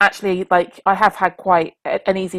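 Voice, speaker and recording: In a dry, close recording with no echo, a woman talks at a medium pitch. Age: 40s. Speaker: teacher and school leader. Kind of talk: interview. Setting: remote recording.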